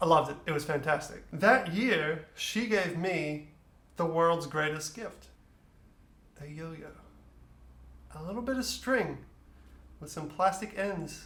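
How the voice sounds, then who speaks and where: Amid audible room echo, a high-pitched man speaks at a fairly slow pace, with long, frequent pauses and big swings in loudness. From Australia, moved to Netherlands at about eight. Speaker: storyteller, musician. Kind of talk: personal storytelling. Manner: animated.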